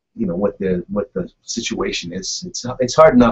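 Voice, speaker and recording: A man at a moderate pace. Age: 60s. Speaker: conservative talk radio host. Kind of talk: talk radio monologue. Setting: radio studio, live broadcast. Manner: halting, many fillers and repeats.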